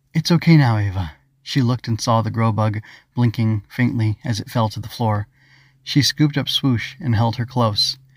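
Somewhat breathy and at a medium pitch, a man speaks at a moderate pace in a dry, close sound with no echo and a very clean recording with a silent background. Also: ordinary pitch variation. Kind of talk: children's audiobook reading.

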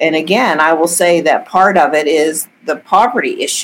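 A woman with an American accent and an ordinary speaking voice. Her pitch sits fairly low, her intonation is fairly even, and she talks at a fairly slow pace. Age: 60s. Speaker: judge. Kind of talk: interview.

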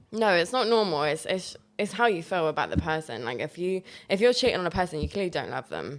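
Very fast and fairly low-pitched, a woman speaks with vocal fry and lively intonation on a very clean recording with a silent background. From Poland. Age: 20s. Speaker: mental health therapist and holistic healer. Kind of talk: casual chat.

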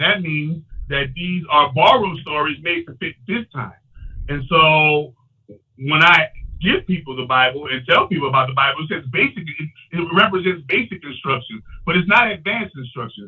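Using an ordinary speaking voice, a man talks at a moderate pace, fairly high in pitch, with lively intonation and big swings in loudness. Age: 40s. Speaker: self-styled chakra healer and minister. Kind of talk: casual interview, self-promotional talk. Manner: boastful, confident.

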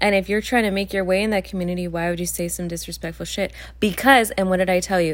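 Soft-spoken and fairly low-pitched, a woman talks at a very fast pace with fairly even intonation. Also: hardly any pauses. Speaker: podcast co-host. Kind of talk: casual chat.

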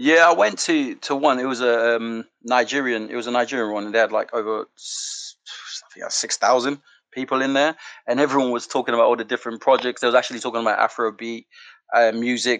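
Against a quiet background, a man of medium pitch speaks at a very fast pace with fairly even intonation in a dry, close sound with no echo. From Sierra Leone, left at 12 for the UK. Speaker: charity founder, NFT project creator. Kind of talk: interview. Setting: online audio chat room.

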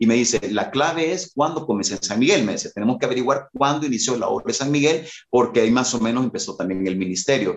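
A man talks at a very fast pace with hardly any pauses. His medium-pitched voice has lively intonation. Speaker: worship leader and musician. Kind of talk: casual interview chat.

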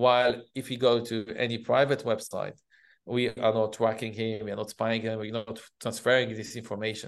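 Speaking at a moderate pace, a man uses a medium pitch with an Israeli accent. His intonation stays monotone and flat. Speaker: cybersecurity company CEO. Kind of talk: interview. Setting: video call. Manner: halting.

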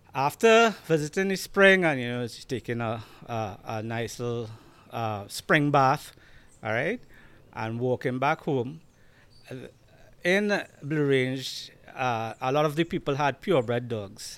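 The recording is very clean, with a silent background. A man with a Trinidadian accent and medium pitch speaks at a fairly slow pace, leaving long, frequent pauses. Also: lively intonation. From Trinidad and Tobago. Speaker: Rottweiler breeder. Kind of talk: casual interview chat. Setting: video podcast recorded at his home.

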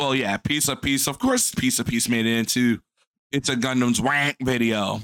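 A man talks at a medium pitch and a moderate pace in an ordinary speaking voice. His loudness stays very even and his intonation fairly even. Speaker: co-host. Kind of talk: casual reaction commentary.

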